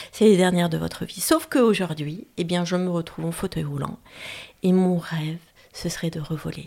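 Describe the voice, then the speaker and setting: Over noticeable background noise, a woman with a fairly low pitch talks at a moderate pace with fairly even intonation. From France, Auvergne. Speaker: pilot and speaker. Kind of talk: interview. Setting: her home.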